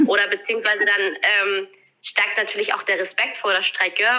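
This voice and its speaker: Fairly even in intonation, a woman talks in a normal speaking voice at a medium pitch. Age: 20s. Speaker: eventing rider. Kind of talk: interview.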